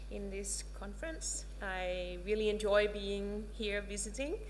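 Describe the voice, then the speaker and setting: A woman speaks with a Danish accent. There is audible room echo and noticeable background noise. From Denmark. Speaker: professor. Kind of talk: lecture. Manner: halting, many filler words.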